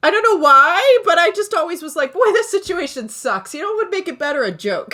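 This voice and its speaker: A woman's raised, projected voice, extremely high in pitch with a bright, sharp tone, swings very widely in pitch at a fairly quick pace. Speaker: comedian and musician. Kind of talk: casual chat. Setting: podcast recording.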